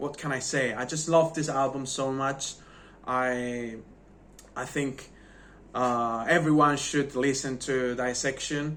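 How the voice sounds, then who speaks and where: Speaking at a very slow pace in a non-native accent, a man uses a medium pitch and fairly even intonation, with audible room echo around him. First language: not English. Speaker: music reviewer YouTuber. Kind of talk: casual video review. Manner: halting.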